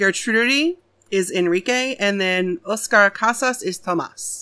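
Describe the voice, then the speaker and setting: At a fairly slow pace, a woman speaks at medium pitch with ordinary pitch variation and a bright, sharp tone in a very clean recording with a silent background. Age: 30s. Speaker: horror podcast co-host. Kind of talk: reading aloud; casual chat.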